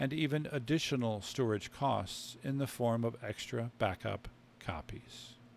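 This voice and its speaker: A man's unremarkable speaking voice at medium pitch and a fairly slow pace, on a very clean recording with a silent background. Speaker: author. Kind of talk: sleep story reading of technical text.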